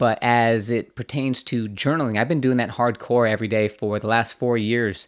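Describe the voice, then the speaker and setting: Speaking at a moderate pace with hardly any pauses, a man has an unremarkable speaking voice, medium pitch and fairly even intonation. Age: 40s. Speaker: podcast host. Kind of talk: casual chat.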